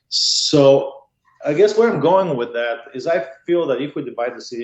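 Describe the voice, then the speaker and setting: A man speaks with a Bulgarian accent. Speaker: political candidate, highway patrol officer. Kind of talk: interview.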